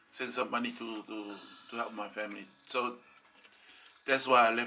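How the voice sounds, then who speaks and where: Monotone and flat in intonation, a man speaks at a medium pitch and a moderate pace with a bright, sharp tone. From Cook Islands. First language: Cook Islands Maori. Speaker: vlogger's husband answering viewer questions. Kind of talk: casual storytelling. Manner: halting, with many repetitions.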